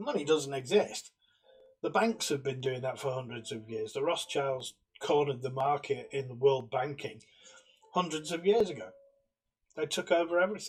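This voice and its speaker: A man speaks at a moderate pace with a fairly high pitch and lively intonation. His delivery has long, frequent pauses. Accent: British. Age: 60s. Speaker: political commentator. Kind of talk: monologue.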